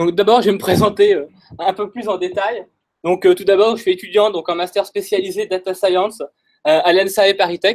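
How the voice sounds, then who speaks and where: A man talks at a high pitch and moderate pace in a monotone, flat intonation. The background is quiet. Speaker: data scientist presenter; presenter. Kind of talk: technical talk. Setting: stage with audience. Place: meeting room. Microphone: headset.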